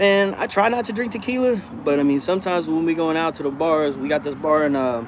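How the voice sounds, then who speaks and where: A man's relaxed tone and lively intonation in an American accent, over noticeable background noise. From Texas. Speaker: dog trainer. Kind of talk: casual live-stream chat answering viewer comments. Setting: outdoors in hot weather. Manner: relaxed, laid-back.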